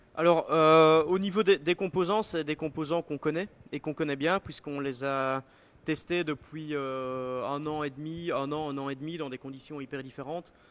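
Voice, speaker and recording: Fairly even intonation at a moderate pace, with a Belgian accent and a dry, close sound with no echo. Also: man, fairly high pitch for a man. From Belgium. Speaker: bike product designer. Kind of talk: live product presentation. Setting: live stream at design centre. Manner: hesitant, many fillers.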